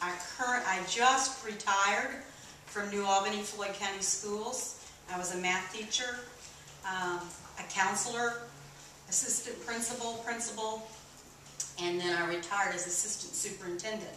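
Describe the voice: With audible room echo, a woman with an American accent speaks at a fairly slow pace in a bright, sharp tone, her medium pitch showing ordinary pitch variation.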